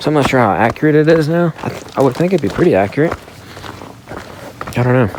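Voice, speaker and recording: A soft-spoken man over noticeable background noise. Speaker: hiking vlogger. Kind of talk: casual vlog monologue. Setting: outdoors on a mountain trail. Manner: quiet, low voice.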